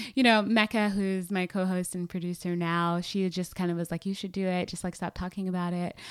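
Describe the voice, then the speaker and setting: Speaking at a fairly quick pace with hardly any pauses, a woman with an American accent delivers her words in a flat monotone at medium pitch, over a very clean recording with a silent background. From US South, Atlanta, Georgia. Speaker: podcast host and digital media strategist. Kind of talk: interview.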